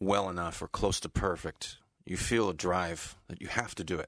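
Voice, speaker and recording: A man at a fairly slow pace, in a dry, close sound with no echo on a very clean recording with a silent background. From California, US. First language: English (speaking Russian). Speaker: tribute band bassist and keyboardist. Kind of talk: radio interview.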